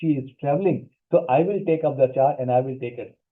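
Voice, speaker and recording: A man's fairly high voice races along at a very fast pace. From India. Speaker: pharmaceutical industry executive and workshop speaker. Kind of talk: career workshop talk. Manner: animated, motivational.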